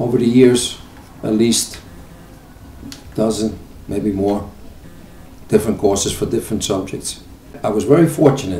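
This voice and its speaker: Music plays in the background. Over it, a man at a medium pitch speaks at a moderate pace. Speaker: retired auto mechanic. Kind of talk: interview answer. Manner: hesitant, with fillers.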